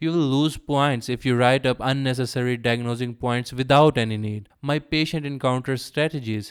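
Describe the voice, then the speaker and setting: A man speaks with a strong non-native accent. The recording is very clean, with a silent background. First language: not English. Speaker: medical doctor. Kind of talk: tutorial.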